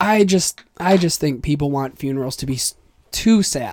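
Recorded very cleanly with a silent background, a man with a fairly high pitch talks at a fairly slow pace in an animated tone with lively intonation. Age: 20s. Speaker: podcast host. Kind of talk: casual chat.

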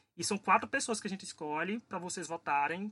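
A man talks fairly quickly in a raised, projected voice, high in pitch with a bright, sharp tone and lively intonation, over a quiet background with a dry, close sound with no echo. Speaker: podcast host. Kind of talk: casual chat.

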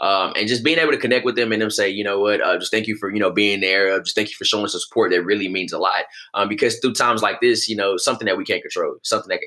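Speaking with an American accent, a man goes at a very fast pace with hardly any pauses. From Texas, Houston. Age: 20s. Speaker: motivational speaker and nonprofit founder. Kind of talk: interview conversation. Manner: frequent fillers and repetitions.

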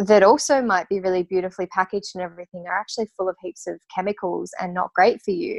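A woman with an Australian accent speaks at a medium pitch. The sound is dry and close with no echo, over a quiet background. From Tasmania, Australia. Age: 30s. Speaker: natural perfume maker and business owner. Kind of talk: interview.

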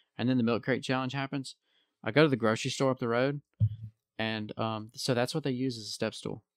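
A man with a Southern US accent talks at a fairly quick pace in a medium-pitched voice with fairly even intonation. The recording is very clean, with a silent background and a dry, close sound with no echo. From US South. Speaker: podcast co-host. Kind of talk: casual chat. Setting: live stream recording.

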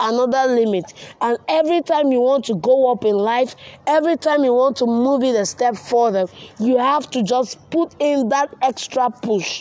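A woman speaks at a moderate pace with a high-pitched voice. Noticeable background noise runs underneath. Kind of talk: motivational pep talk, coaching-style exhortation. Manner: earnest, driving, urgent, rallying tone with emphatic repetition of 'you need to'; direct, second-person address with steady, preacher-like rhythm.

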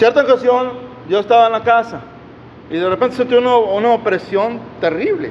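An extremely high male voice, animated and fairly quick, broken by long, frequent pauses, over noticeable background noise. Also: ordinary pitch variation. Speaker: preacher. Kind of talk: sermon. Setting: church. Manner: animated, fervent; exhortative, call-and-response with congregation.

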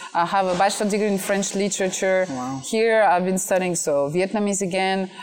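Noticeable background noise sits behind a woman with a medium pitch. She talks at a moderate pace with fairly even intonation. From France. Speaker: MC and content creator. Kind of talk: interview. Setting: outdoors.

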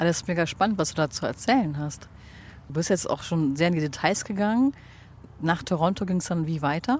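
A woman talks at a fairly quick pace in a fairly low pitch. Her intonation is lively. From Germany, Cologne. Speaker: podcast host. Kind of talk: interview. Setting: outdoors on a bench.

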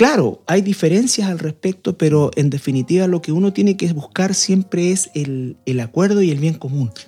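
A fairly high-pitched man with a dark, mellow tone talks at a moderate pace, with lively intonation and hardly any pauses. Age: 50s. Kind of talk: radio panel discussion on faith and marriage.

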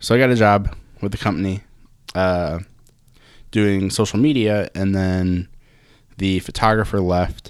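On a very clean recording with a silent background, a man with a fairly low voice speaks at a fairly slow pace with fairly even intonation and long, frequent pauses. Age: 20s. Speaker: graphic and web designer. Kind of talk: casual chat.

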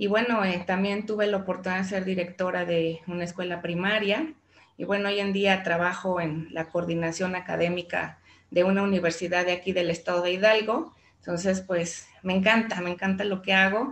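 In a plain, everyday voice, a woman speaks at a moderate pace with a medium pitch and fairly even intonation. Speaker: teacher. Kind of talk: interview.

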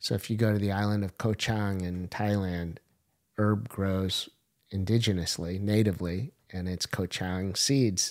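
On a very clean recording with a silent background, a man speaks with an American accent. His voice is fairly low, his intonation fairly even and his pace fairly slow. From US Pacific Northwest, Portland. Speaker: entrepreneur. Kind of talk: casual chat.

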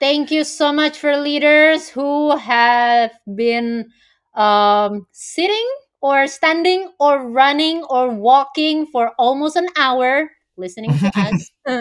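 A woman with an Indonesian accent speaks very slowly in a high voice with lively intonation. The recording is very clean, with a silent background. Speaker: corporate coach. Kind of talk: interview.

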